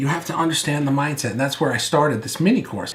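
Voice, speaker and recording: Loud and animated, a man talks at a very fast pace amid audible room echo and noticeable background noise. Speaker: video marketing coach. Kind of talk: online course lecture. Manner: loud, animated.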